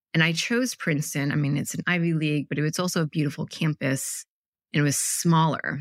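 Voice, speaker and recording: A woman with a very deep, low pitch and an American accent speaks at a fairly quick pace in a dry, close sound with no echo, on a very clean recording with a silent background. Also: ordinary pitch variation. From Michigan, US (Ann Arbor). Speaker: tech product leader and entrepreneur. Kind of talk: casual interview.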